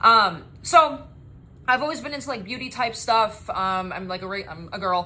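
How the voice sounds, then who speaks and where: A woman's bright, sharp voice at a fairly quick pace, with ordinary pitch variation and audible room echo. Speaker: spray tan business owner and trainer. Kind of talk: course introduction video. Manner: energetic.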